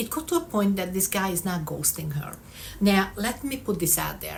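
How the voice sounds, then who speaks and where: A woman with a non-native accent speaks at a moderate pace, her voice somewhat breathy and her intonation lively. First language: not English. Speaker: vlogger. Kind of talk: casual vlog monologue. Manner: conversational, frequent 'um' fillers.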